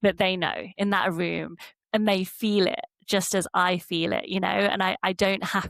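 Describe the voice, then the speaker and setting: A woman with an English Midlands accent, medium pitch and fairly even intonation, in a dry, close sound with no echo. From Derby, England. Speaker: polar explorer. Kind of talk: interview answer.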